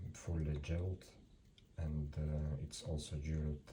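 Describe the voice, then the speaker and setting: A man's very deep, low voice in a non-native accent, dark and mellow in tone, somewhat breathy, monotone and flat, at a very slow pace. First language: not English. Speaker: antique watch seller. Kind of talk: product presentation. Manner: halting.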